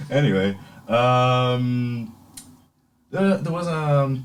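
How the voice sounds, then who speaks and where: A man with a medium-pitched voice speaks amid audible room echo. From Sicily, Italy. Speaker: radio host. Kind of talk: casual chat.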